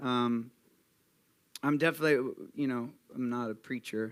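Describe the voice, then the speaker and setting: With fairly even intonation, a man speaks in a medium-pitched voice. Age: 30s. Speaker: rock band frontman. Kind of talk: live interview.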